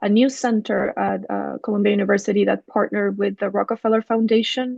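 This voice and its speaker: A woman with a Spanish accent at a fairly quick pace, in a dry, close sound with no echo. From Chile (Valparaíso). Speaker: architect and urban designer. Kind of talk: academic presentation.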